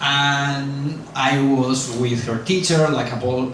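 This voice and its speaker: A man speaks very slowly with a strong Spanish accent, his pitch fairly high. Room echo is audible, and there is noticeable background noise. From Spain. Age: 40s. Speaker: YouTuber. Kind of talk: lecture.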